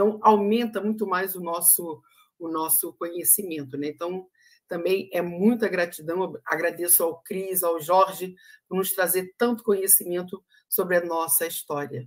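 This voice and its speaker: A woman at a fairly slow pace, with ordinary pitch variation, against a quiet background. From Brazil. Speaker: livestream moderator. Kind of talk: casual chat. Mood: grateful, warm. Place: home room.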